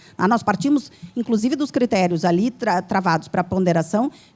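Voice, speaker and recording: Somewhat breathy and dark, mellow in tone, a woman talks at a fairly quick pace with lively intonation. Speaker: law professor, panel speaker. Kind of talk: debate panel answer to audience question. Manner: fast; hesitant, many fillers.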